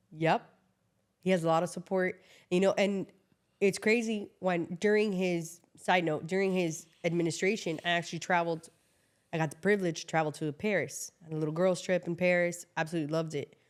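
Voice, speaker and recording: In a Miami accent, a woman speaks fairly quickly with a fairly low pitch and fairly even intonation, on a very clean recording with a silent background. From Miami, Florida (Cuban-born). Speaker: immigration lawyer. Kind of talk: casual chat.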